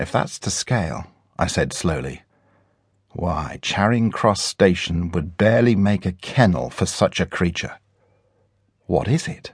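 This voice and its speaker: Over a quiet background, a man speaks at a fairly slow pace with long, frequent pauses, his very deep, low voice showing vocal fry and lively intonation. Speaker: audiobook narrator. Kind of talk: dramatic audiobook narration, first-person adventure story with character voices. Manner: suspenseful, building tension and wonder.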